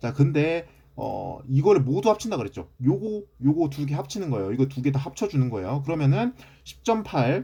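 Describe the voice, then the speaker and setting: A man with a fairly high pitch and a dark, mellow, somewhat breathy tone swings his pitch very widely, recorded very cleanly against a silent background. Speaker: math teacher. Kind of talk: lecture. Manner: fast.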